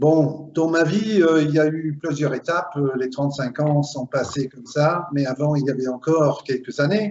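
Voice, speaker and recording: A man with an ordinary speaking voice and a fairly high pitch talks at a fairly slow pace, with ordinary pitch variation and hardly any pauses. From Belgium (Flemish, Limburg). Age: 50s. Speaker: recruiter, HR consultant. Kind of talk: interview.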